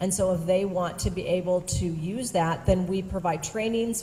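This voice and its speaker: Noticeable background noise surrounds a woman speaking. She moves at a fairly quick pace with fairly even intonation. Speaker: education service district presenter. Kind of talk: presentation to school board. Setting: school board meeting.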